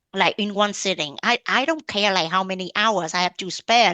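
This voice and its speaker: The tone is bright and sharp, with a Vietnamese accent. The sound is dry and close, with no echo. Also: woman. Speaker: blogger and mom entrepreneur. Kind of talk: interview podcast conversation.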